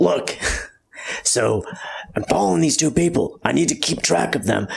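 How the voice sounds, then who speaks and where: Putting on a character voice, a man speaks at a moderate pace. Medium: actual play. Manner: eager, insistent.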